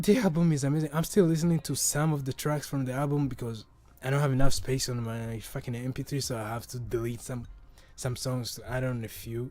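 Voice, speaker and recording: A man at a medium pitch and a fairly quick pace, with ordinary pitch variation and music in the background. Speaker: podcast host. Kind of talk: casual chat. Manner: halting, many repetitions and restarts; casual, profane.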